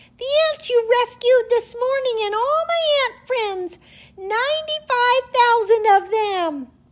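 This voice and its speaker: A woman uses a put-on character voice that is squeaky and extremely high in pitch. She projects it loudly at a fairly slow pace. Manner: earnest, polite.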